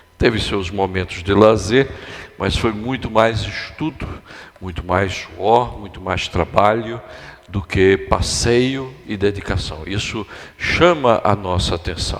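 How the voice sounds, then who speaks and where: Over noticeable background noise, a man with a fairly low pitch speaks at a very slow pace. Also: ordinary pitch variation. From Brazil, Recife, Pernambuco. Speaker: guest pastor. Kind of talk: sermon. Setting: church.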